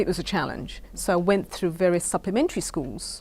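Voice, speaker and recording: A woman with a British accent speaks on a very clean recording with a silent background. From Caribbean. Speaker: founder of a children's essay contest. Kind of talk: interview.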